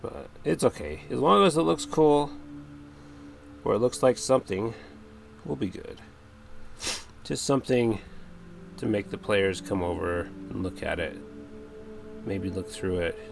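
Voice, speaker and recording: With music in the background, a man with a fairly low pitch and lively intonation speaks at a moderate pace, leaving long, frequent pauses. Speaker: crafting streamer. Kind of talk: livestream chat while crafting. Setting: livestream. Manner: casual, chatty.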